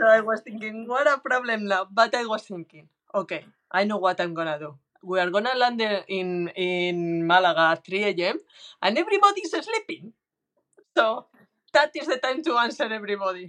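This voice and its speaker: A woman with a Spanish accent talks at a moderate pace in a fairly high pitch, her tone bright and sharp. Her intonation is lively, and her loudness swings widely. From Spain. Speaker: professional golfer. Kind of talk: casual interview. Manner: halting.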